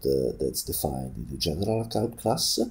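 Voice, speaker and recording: A man speaks with very wide pitch swings and a somewhat breathy quality. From Italy. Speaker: programming tutor. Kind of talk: coding tutorial narration.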